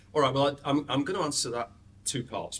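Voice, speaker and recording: A man speaks with a British accent. His voice is somewhat breathy. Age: 70s. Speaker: dental business consultant. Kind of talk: interview.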